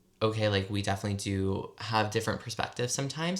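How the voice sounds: Speaking fairly quickly with an American accent, a man uses lively intonation.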